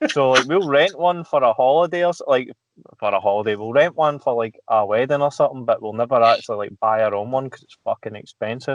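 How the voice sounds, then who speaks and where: Speech in a Glaswegian accent comes at a very fast pace with big swings in loudness and ordinary pitch variation. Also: man, medium pitch for a man. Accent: Glaswegian Scottish. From Scotland, Glasgow area. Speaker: podcast guest. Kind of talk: casual chat.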